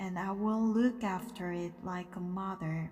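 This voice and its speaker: Noticeable background noise sits behind a woman who speaks at a very slow pace. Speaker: English teacher and interpreter/translator. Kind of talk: sleep story, bedtime story reading.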